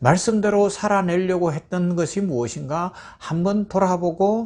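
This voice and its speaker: Against a quiet background, a man talks with a slight Gyeongsang accent. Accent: slight Gyeongsang dialect remains. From Gyeongsang province, South Korea. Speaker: pastor. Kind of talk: sermon.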